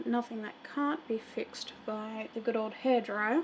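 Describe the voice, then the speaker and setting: Soft-spoken and with an Australian accent, a woman talks at a moderate pace with ordinary pitch variation over noticeable background noise. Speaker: miniature painter streamer. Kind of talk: live stream tutorial while painting. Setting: live stream. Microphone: audio too quiet.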